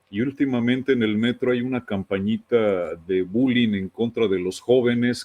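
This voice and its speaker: A man with a plain, everyday voice speaks at a fairly slow pace. His pitch is medium and his intonation fairly even. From Mexico. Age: 60s. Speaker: radio host. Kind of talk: interview, anecdotal chat.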